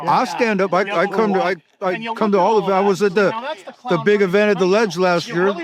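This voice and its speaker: A man's high-pitched, animated voice at a fairly quick pace, with very even loudness and noticeable background noise. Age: 60s. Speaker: independence supporter. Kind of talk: casual street interview chat. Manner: animated, heated.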